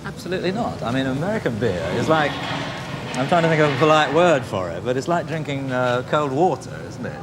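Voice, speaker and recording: With noticeable background noise behind him, a man speaks at a fairly quick pace and fairly high pitch, his intonation lively and hardly any pauses between words. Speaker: TV documentary presenter. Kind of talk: TV documentary interview questions.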